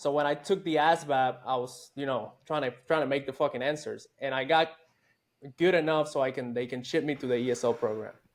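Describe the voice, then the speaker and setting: A man with a Puerto Rican accent, fairly high pitch, fairly even intonation and a fairly quick pace, on a very clean recording with a silent background. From Puerto Rico. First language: Spanish. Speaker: army veteran, former special forces soldier. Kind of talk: casual interview chat. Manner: casual, profane.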